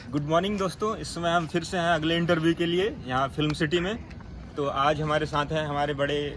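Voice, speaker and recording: A man with an ordinary speaking voice, fairly high in pitch, at a moderate pace and with fairly even intonation. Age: young. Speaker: interviewer. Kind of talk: interview. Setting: office campus.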